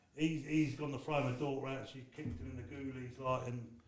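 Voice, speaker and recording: A man speaks at medium pitch and a moderate pace with ordinary pitch variation. Audible room echo and noticeable background noise surround him. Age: 50s. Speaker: former prisoner and author. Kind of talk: podcast interview. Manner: rambling with frequent fillers.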